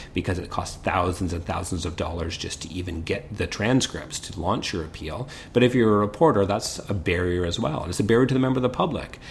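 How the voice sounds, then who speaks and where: With a Canadian accent, a man talks at a very fast pace with hardly any pauses, his very deep, low pitch showing ordinary variation against noticeable background noise. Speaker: criminal defence lawyer, podcast host. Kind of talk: casual legal discussion.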